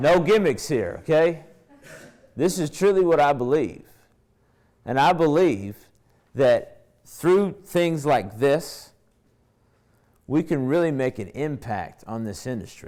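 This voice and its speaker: A man with an American accent speaks very slowly at a fairly high pitch, his dark, mellow tone carrying lively intonation and long, frequent pauses in a very clean recording with a silent background. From Kentucky. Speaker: fitness trainer and conference speaker. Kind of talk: conference presentation. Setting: stage with audience.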